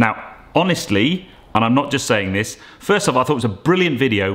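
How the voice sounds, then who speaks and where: With quiet behind him, a man is talking. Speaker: car vlogger. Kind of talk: casual vlog chat. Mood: enthusiastic, warm. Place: home room. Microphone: phone near.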